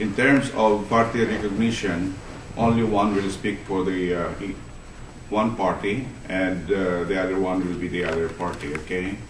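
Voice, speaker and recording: A man's very deep, low voice at a moderate pace, fairly even intonation, audible room echo and noticeable background noise. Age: 70s. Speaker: meeting moderator and teacher. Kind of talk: formal meeting chairing. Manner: halting.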